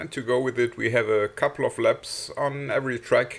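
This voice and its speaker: Speaking with a German accent, the man keeps to a moderate pace. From Germany. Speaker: sim racing youtuber. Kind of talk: casual commentary. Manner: halting, many fillers.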